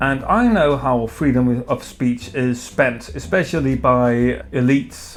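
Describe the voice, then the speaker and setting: A man with a medium-pitched voice talks at a fairly slow pace over music in the background. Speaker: beer reviewer. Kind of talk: opinion commentary. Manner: hesitant, stuttering.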